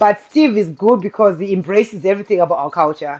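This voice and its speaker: Against a quiet background, a woman with a Zimbabwean accent talks at a very fast pace. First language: Shona. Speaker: guest sharing interracial marriage experience. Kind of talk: casual chat.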